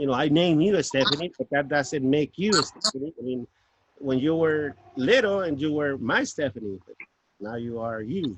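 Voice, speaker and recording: A man's fairly high voice with a Spanish accent. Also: lively intonation, moderate pace, dry, close sound with no echo. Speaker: father and grandfather. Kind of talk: casual family chat.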